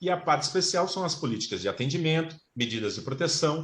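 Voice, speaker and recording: A man at a moderate pace with lively intonation, against a quiet background. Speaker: lawyer and professor giving a talk. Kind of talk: online lecture to fellow lawyers. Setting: video call. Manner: halting, many fillers.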